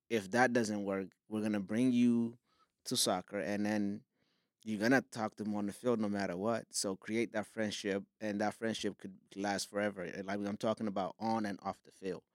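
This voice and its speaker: Monotone, flat intonation from a man at a fairly low pitch and moderate pace, on a very clean, dry, close recording with no echo and a silent background. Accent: Somali. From Somalia. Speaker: filmmaker and soccer league founder. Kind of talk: casual interview. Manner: halting, with frequent fillers.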